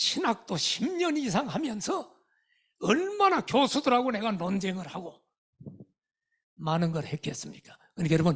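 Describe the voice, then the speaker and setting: Taking a fairly slow pace, a man speaks with very wide swings in pitch. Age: 70s. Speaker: retired pastor, revival guest preacher. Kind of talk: sermon. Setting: church revival meeting with congregation. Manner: animated, interacts with audience.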